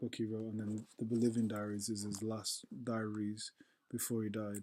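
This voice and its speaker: A man speaks at a moderate pace and medium pitch, with a dark, mellow tone. His intonation is monotone and flat. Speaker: vlogger. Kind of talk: casual vlog monologue. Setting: at home, dark room. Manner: halting.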